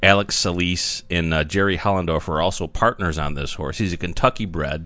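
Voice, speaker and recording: A man speaks at a moderate pace in a very deep, low pitch. His tone is bright and sharp. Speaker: podcast host on horse racing. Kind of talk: casual chat.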